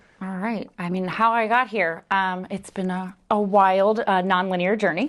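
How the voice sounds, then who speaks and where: This woman speaks at a moderate pace and a medium pitch, with an eastern Pennsylvania accent. Her intonation is fairly even, and the background is quiet. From Philadelphia, eastern Pennsylvania. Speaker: family support specialist. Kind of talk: interview.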